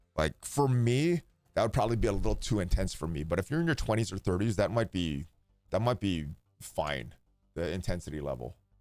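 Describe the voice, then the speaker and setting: A man speaking at a fairly quick pace, fairly low in pitch, with very wide pitch swings and music in the background. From Hawaii. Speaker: game streamer. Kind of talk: casual chat. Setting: live stream.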